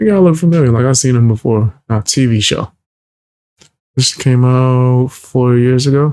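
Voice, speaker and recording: A man's medium-pitched voice with a dark, mellow tone, ordinary pitch variation and very even loudness, at a fairly slow pace with long, frequent pauses, in a dry, close sound with no echo. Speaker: music reaction youtuber. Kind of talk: casual reaction commentary.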